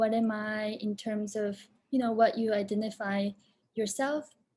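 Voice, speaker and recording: Dark, mellow, somewhat breathy tone in a Japanese accent, at a fairly slow pace, on a very clean recording with a silent background. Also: woman. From Japan, moved to Boston at about 13. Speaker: film director and performer. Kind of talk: Q&A interview.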